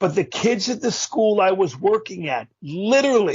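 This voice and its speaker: A man's high voice at a fairly slow pace. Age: 60s. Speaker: motivational speaker. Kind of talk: interview.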